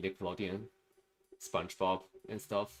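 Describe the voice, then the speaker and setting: This man speaks with a Chinese accent. His pitch sits fairly low. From China. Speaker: streamer. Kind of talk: casual livestream chat while animating. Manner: halting, many fillers.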